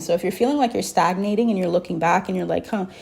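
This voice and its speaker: This is a woman with a medium pitch. Her intonation stays fairly even. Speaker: tarot reader. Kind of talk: spiritual channeled message, tarot reading. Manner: casual, conversational, hesitant.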